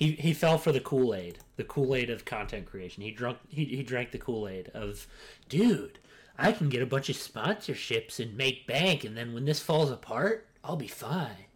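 This man's voice is somewhat breathy, moving at a moderate pace. His pitch makes very wide swings. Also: medium pitch for a man. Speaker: podcast host. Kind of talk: casual chat.

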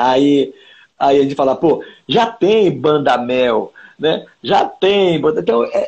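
A man talks at a very slow pace and a fairly high pitch with lively intonation. His loudness stays very even. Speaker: singer-songwriter. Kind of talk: casual interview. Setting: Instagram live video call. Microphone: unstable connection.

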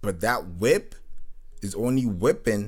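A somewhat breathy man at a very slow pace, with ordinary pitch variation. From Nigerian, raised in Kenya and Britain. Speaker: podcast host and music producer. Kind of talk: casual solo monologue. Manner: relaxed, rambling with fillers.

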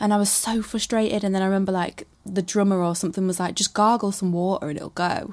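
Delivered at a very fast pace with hardly any pauses, the speech has monotone, flat intonation in a Mancunian accent, on a very clean recording with a silent background. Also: woman, medium pitch for a woman. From Manchester, England. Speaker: singer. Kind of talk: casual chat. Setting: outdoors on holiday in Croatia.

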